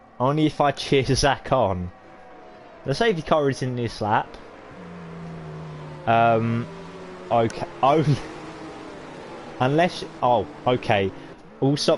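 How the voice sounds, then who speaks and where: A man with a British accent speaks at a fairly slow pace, leaving long, frequent pauses over noticeable background noise. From Britain. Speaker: sim racing league commentator. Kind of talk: live commentary. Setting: live stream. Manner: casual, chatty; animated.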